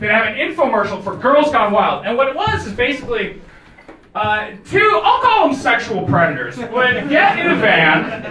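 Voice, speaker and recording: A man with an American accent projects his voice at an extremely high pitch, with lively intonation and a moderate pace. Noticeable background noise and audible room echo fill the recording. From United States. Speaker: comedian. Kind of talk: stand-up. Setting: stage with audience. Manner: animated.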